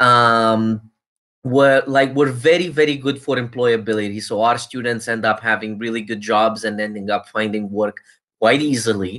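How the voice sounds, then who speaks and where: At a moderate pace, a man with a medium pitch speaks in a bright, sharp tone and fairly even intonation. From Romania. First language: Romanian. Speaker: university recruiter. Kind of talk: presentation. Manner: casual, filler-heavy.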